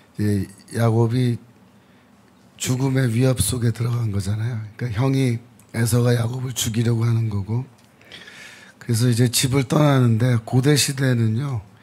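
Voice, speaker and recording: Using a dark, mellow tone, a somewhat breathy man at a medium pitch speaks in monotone, flat intonation with long, frequent pauses. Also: moderate pace. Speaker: theology professor. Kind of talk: Bible teaching talk.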